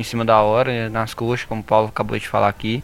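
The man's pitch sits in the medium range, and he talks at a very fast pace. Music plays behind him. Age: 20s. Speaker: engineering student. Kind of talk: casual chat.

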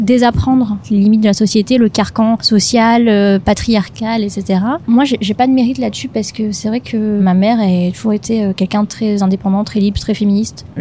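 Over noticeable background noise, a woman talks at a moderate pace with hardly any pauses. Her fairly high pitch keeps to fairly even intonation. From Madagascar, Antananarivo. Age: 20s. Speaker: podcast co-founder. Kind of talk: interview conversation. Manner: hesitant, many fillers.

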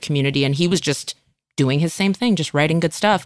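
In a very clean recording with a silent background and a dry, close sound with no echo, a woman with an American accent talks very fast at a fairly low pitch with ordinary pitch variation. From Northern California. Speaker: comedian and actress. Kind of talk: casual chat.

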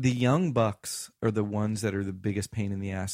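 In a very clean recording with a silent background, a man talks at a moderate pace and fairly low pitch, with ordinary pitch variation, in an ordinary speaking voice. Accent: American. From US South. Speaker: musician and recording studio owner. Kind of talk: casual interview. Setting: studio.

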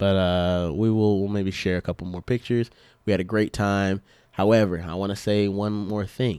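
In a very clean recording with a silent background and a dry, close sound with no echo, a man uses a normal speaking voice at a moderate pace and fairly low pitch. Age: 20s. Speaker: gaming podcast co-host. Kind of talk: casual chat.

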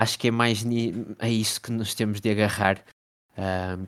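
Over a silent background in a very clean recording, a man speaks at a moderate pace with fairly low pitch and monotone, flat intonation. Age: 20s. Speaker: NBA fan page creator. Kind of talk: casual chat.

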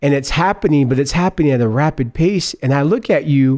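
A man speaks at a fairly quick pace in a dark, mellow tone. His pitch variation is ordinary. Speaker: podcast host. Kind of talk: interview. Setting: conference venue.

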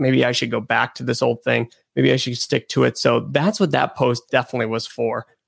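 Here a man talks at a fairly quick pace. The sound is dry and close, with no echo. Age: 20s. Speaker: YouTuber and YouTube educator. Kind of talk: casual interview conversation.

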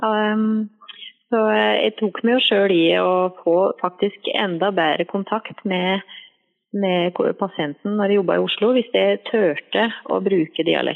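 A woman speaks at a very slow pace with fairly even intonation. Her loudness stays very even throughout. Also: medium pitch for a woman. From Valdres, Norway. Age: 30s. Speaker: nurse. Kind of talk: interview. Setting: phone call. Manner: hesitant. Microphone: echoey phone line.

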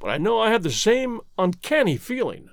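A man uses a put-on character voice at a high pitch, full of vocal fry. His pitch swings very widely. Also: moderate pace.

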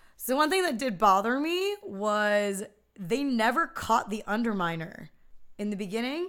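A woman with an American accent and fairly high pitch talks at a moderate pace, her pitch swinging very widely. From Philadelphia area, US. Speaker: podcast guest, film fan. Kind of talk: casual chat.

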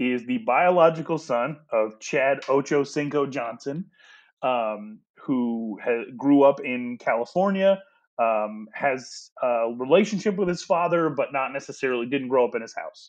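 Against a quiet background, a man with a normal speaking voice talks at a fairly high pitch and a fairly slow pace with lively intonation. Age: 30s. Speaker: sports podcast co-host. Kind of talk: casual sports chat.

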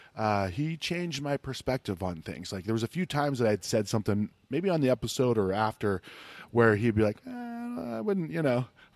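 Against a quiet background with a dry, close sound and no echo, a man with an American accent speaks at a fairly quick pace and a medium pitch with lively intonation in an ordinary speaking voice. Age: 40s. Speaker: podcast host. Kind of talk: casual interview. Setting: brewery in a cinema.

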